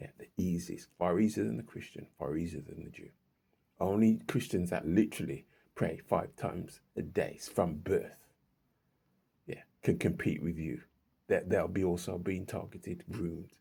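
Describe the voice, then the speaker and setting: A man with a very deep, low pitch and a dark, mellow tone speaks at a moderate pace with vocal fry and big swings in loudness. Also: ordinary pitch variation. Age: 60s. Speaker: vlogger and self-published author. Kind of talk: casual monologue vlog. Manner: halting, frequent repetitions.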